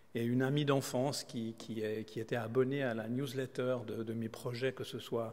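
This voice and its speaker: In a Swiss accent, a man with a medium pitch speaks at a fairly slow pace in a monotone, flat intonation. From Switzerland. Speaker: kidney transplant recipient and solo sailor. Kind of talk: conference talk. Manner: halting, many repetitions and hesitations.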